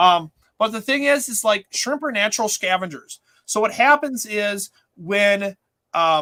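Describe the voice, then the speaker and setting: In an Upper Midwest accent, a raised, projected voice with a bright, sharp tone and lively intonation moves at a fairly slow pace, the sound dry and close with no echo. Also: man, high pitch for a man. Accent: Upper Midwest American. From Minnesota. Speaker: aquarium store owner and show host. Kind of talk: casual livestream chat. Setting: in his store.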